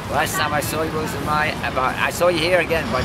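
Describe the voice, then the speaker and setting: Behind the speech, background noise is loud. A man talks fairly quickly over it. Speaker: calisthenics athlete. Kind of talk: interview answer. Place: street. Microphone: camera far.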